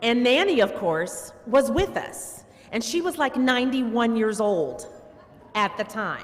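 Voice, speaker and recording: Speaking fairly slowly, a woman uses a fairly high pitch that swings very widely. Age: 60s. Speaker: family member giving eulogy. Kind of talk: eulogy. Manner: conversational.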